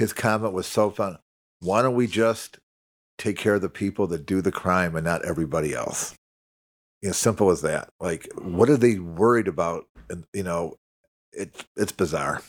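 Using an ordinary speaking voice, a man with an American accent talks at a fairly low pitch and moderate pace with ordinary pitch variation. The recording is very clean, the background silent. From Chicago. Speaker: political party official. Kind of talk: casual chat.

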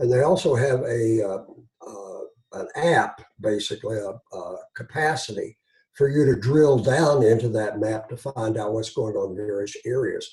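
A man with an Eastern Kentucky accent speaks at a moderate pace and medium pitch, with a dark, mellow, somewhat breathy tone. His pitch varies in an ordinary way, while his loudness swings widely. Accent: Eastern Kentucky Appalachian. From Eastern Kentucky, Floyd County. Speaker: physician and journal editor. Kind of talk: interview. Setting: video call.

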